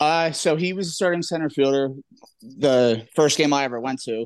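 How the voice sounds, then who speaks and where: Using an ordinary speaking voice, a man talks at a fairly quick pace and a fairly high pitch. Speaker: trivia guest. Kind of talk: casual chat.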